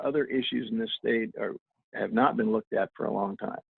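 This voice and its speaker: Talking at a very fast pace, a man speaks with a Midwestern US accent. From Southeast Iowa. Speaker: political candidate. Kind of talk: candidate forum answer. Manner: halting.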